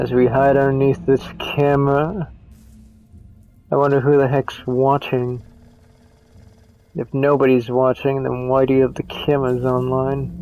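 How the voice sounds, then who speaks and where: The speech comes at a fairly slow pace, broken by long, frequent pauses. Music plays in the background. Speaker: gaming commentator. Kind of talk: let's play commentary. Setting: home microphone. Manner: casual.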